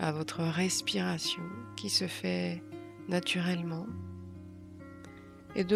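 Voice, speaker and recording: There's music behind this woman. She talks very slowly. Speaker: meditation guide. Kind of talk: guided meditation. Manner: calm, soft-spoken, slow.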